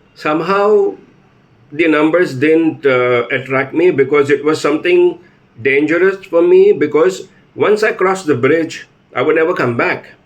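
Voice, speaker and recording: Pitched fairly high, a man talks at a moderate pace with ordinary pitch variation. His loudness stays very even throughout. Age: 50s. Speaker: patient. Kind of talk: testimony. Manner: halting.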